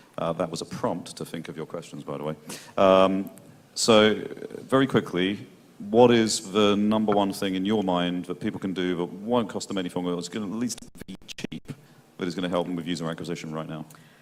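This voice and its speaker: Very deep, low male voice, fairly quick in pace, with ordinary pitch variation. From Britain. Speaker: panel moderator. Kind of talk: panel discussion. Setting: stage with audience. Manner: fast.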